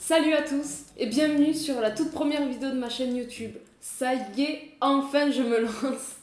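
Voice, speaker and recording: Amid noticeable background noise and audible room echo, a woman with a southern French accent talks at a moderate pace in a high pitch with fairly even intonation. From southern France. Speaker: YouTuber. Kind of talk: vlog introduction. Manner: casual, hesitant with fillers.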